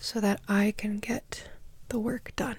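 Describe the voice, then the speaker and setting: The tone is calm, in an American accent. The pace is very slow. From Minnesota, USA. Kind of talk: ASMR energy healing session, soft-spoken talk to camera. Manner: soft-spoken, calm.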